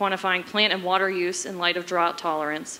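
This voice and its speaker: Speaking at a fairly quick pace, a woman holds a medium pitch. Her intonation is fairly even. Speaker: forest service program manager. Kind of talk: conference panel talk. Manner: fast.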